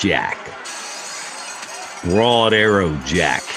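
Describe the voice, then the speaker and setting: Amid loud background noise, a man uses a put-on character voice with a fairly low pitch. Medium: read story. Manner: slow, casual menace.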